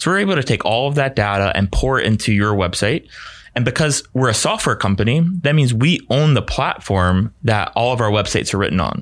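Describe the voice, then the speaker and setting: In an ordinary speaking voice, a man talks at a fairly quick pace with medium pitch, lively intonation and very even loudness, on a very clean recording with a silent background. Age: 30s. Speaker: web design and ad agency representative. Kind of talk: podcast interview. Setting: studio.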